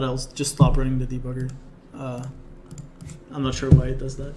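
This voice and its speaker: With audible room echo, a man talks at a medium pitch. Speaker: programming lecturer. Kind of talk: live coding lecture. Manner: fast.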